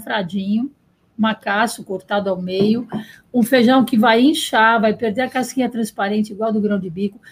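On a very clean recording with a silent background, a woman with a fairly high, somewhat breathy voice speaks fairly slowly with fairly even intonation. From Bahia, Brazil. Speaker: restaurant owner. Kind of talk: interview.

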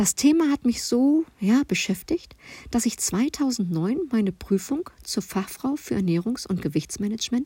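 A woman speaks fairly slowly in a somewhat breathy voice with a dark, mellow tone and very wide pitch swings. The recording is very clean with a silent background and a dry, close sound with no echo. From Ruhr area, Germany. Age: 40s. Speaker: nutrition coach. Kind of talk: podcast self-introduction monologue. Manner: chatty, informal.

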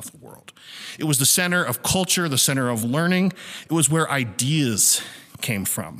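A man's fairly high voice with lively intonation at a moderate pace, against noticeable background noise. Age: 20s. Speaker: church teacher. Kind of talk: sermon.

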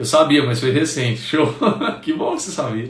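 Audible room echo surrounds a man as he speaks. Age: 30s. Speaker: nutritionist. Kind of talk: live stream talk. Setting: Instagram live stream. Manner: casual, chatty.

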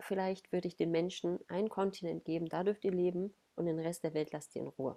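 Her dark, mellow tone comes at a fairly low pitch, with fairly even intonation, as this woman speaks at a moderate pace. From Ruhr area, Germany. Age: 30s. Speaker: body awareness coach. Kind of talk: podcast interview.

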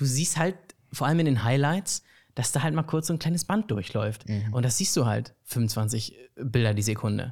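A man's somewhat breathy voice with lively intonation at a moderate pace, on a very clean recording with a silent background. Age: 20s. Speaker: student filmmaker and actor. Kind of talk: casual chat. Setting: living room couch.

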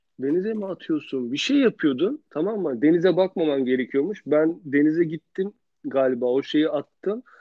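Speaking at a moderate pace, a man uses a fairly high pitch.

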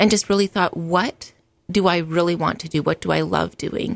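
In a western Canadian accent, a woman speaks in a dry, close recording with no echo. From Alberta, Canada. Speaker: meal prep business owner. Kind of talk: casual interview. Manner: frequent filler ums.

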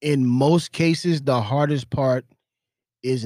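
This man talks at a fairly slow pace with an American accent. He has an ordinary speaking voice, and his pitch varies in an ordinary way. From US South. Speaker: entrepreneur. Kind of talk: casual chat.

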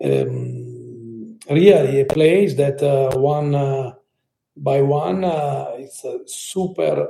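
A man with an Italian accent. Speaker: architect and holiday venue co-founder. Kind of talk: interview. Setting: remote call. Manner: halting, many fillers.

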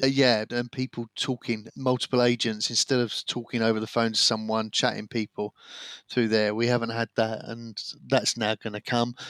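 In a dry, close sound with no echo, a man with an English accent delivers his lines in a monotone, flat intonation. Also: medium pitch for a man, moderate pace, very clean recording, silent background. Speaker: podcast co-host, businessman. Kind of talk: casual chat.

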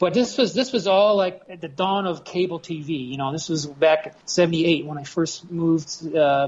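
Slightly mellow tone at a moderate pace. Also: man, fairly high pitch for a man, ordinary pitch variation.

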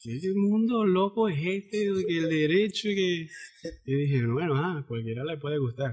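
In a Zulian accent, a man speaks with a high pitch and lively intonation. His pace is fairly slow, with hardly any pauses. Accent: Venezuelan Zulian (maracucho) Spanish. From Venezuela, Zulia (Cabimas). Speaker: podcast host. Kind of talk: casual chat.

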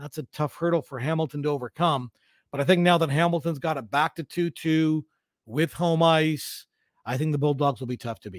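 A man with a Canadian accent speaks at a fairly quick pace in a normal speaking voice, his pitch fairly high with ordinary variation, on a very clean recording with a silent background. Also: dry, close sound with no echo. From London, Ontario, Canada. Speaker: sports broadcaster and teacher. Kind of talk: casual interview.

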